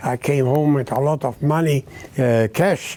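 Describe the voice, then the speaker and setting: This man talks at a very slow pace, and noticeable noise is heard behind him. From Czechoslovakia, Uzhhorod. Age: 90s. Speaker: Holocaust survivor, cantor. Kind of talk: testimony. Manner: halting.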